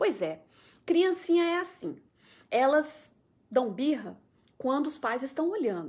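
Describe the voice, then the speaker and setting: A woman's high-pitched, animated voice with very wide pitch swings, a fairly slow pace and long, frequent pauses, on a very clean recording with a silent background. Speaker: mental health program coordinator. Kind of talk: live stream talk answering viewer comments. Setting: Facebook live stream.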